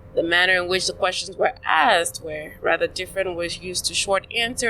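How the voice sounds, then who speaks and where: A woman with a Nigerian accent at a medium pitch and moderate pace. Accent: Nigerian, noticeable to Americans. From Nigeria (south-south, coastal). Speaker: podcast guest. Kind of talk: casual chat. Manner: halting.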